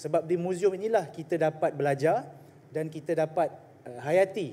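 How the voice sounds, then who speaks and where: Fairly high for a man, this normal speaking voice keeps a moderate pace and fairly even intonation. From Malaysia, Selangor (Shah Alam); Selangor, Malaysia. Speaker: state assemblyman. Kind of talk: parliamentary debate. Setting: legislative assembly chamber. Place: hall. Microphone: podium.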